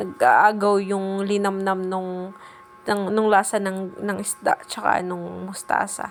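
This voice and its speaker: A woman talks at a medium pitch for her while music sounds behind her. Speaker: cooking vlogger. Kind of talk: cooking tutorial vlog. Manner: shy, hesitant.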